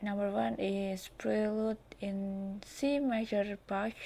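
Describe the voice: At a slow pace, a woman speaks at medium pitch with vocal fry, little pitch movement, and a dark, mellow tone.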